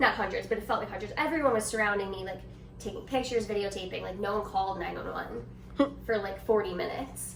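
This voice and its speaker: A woman talks at a very fast pace with big swings in loudness. Noticeable background noise and audible room echo surround her. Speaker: bodybuilder. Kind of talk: testimony.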